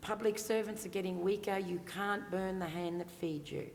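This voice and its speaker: A woman with an Australian accent, her fairly low pitch and fairly even intonation at a moderate pace over noticeable background noise. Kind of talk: panel Q&A answer.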